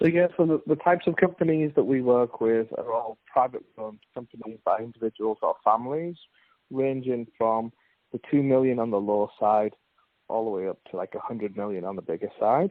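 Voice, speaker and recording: In an English accent, a man speaks at a medium pitch and a fairly quick pace with lively intonation. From England. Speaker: finance consultant, company founder. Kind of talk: podcast interview.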